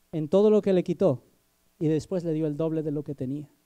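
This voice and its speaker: Against a quiet background, a man talks at a moderate pace with ordinary pitch variation. His voice sits fairly high and has a dark, mellow tone. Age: 20s. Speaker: preacher. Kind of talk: sermon. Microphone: handheld.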